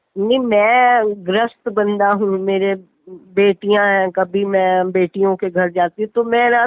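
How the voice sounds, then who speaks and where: A woman talks at a medium pitch. Hers is a plain, everyday voice. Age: 60s. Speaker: caller seeking spiritual advice. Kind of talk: question and answer chat.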